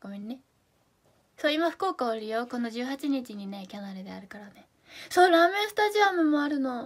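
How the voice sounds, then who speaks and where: A woman speaks with a Fukuoka accent at a fairly quick pace. Her loudness swings a lot, and her pitch swings very widely. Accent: Hakata dialect. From Japan, Fukuoka; Japan. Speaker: idol live streamer. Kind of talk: live stream chat reading comments. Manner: animated. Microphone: phone near.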